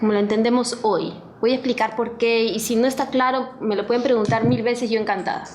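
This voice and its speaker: Amid noticeable background noise and audible room echo, a woman talks at a fairly quick pace in a fairly high voice, with fairly even intonation and very even loudness. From Peru. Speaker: historian, professor. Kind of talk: book presentation talk. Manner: reading from notes with fillers.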